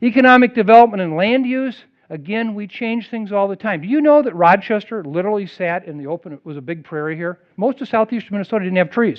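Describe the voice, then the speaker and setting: In an American accent, a man talks at a very fast pace with hardly any pauses, using a high pitch, lively intonation, an animated tone and big swings in loudness. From US Midwest. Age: 60s. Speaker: public health expert. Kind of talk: public lecture.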